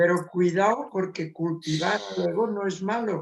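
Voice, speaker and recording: Speech at a fairly slow pace, with fairly even intonation throughout. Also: man. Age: 70s. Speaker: spiritual author and meditation teacher. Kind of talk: interview.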